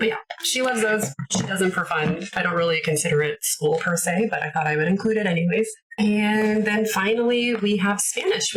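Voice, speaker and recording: Over noticeable background noise, a woman with a Canadian accent talks at a moderate pace and medium pitch with lively intonation. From Canada. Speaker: homeschooling parent, video creator. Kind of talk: casual tutorial, curriculum walkthrough. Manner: casual, many filler words.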